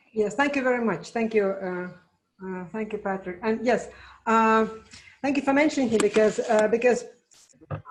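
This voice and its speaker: Amid audible room echo, a woman with a fairly high voice and ordinary pitch variation talks at a moderate pace, leaving long, frequent pauses. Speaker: conference moderator, museum researcher. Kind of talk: moderating online conference. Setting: online video conference. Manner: halting, many fillers.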